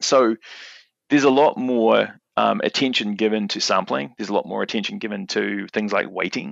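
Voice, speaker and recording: In a New Zealand accent, a man speaks at a moderate pace. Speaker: market researcher. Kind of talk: podcast interview. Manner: halting, many fillers and repetitions.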